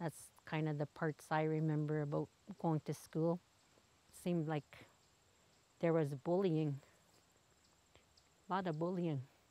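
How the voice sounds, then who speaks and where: Delivered in a Canadian accent, the speech moves at a fairly slow pace with long, frequent pauses. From Wikwemikong reserve and Toronto, Ontario, Canada. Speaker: interviewee. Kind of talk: interview testimony.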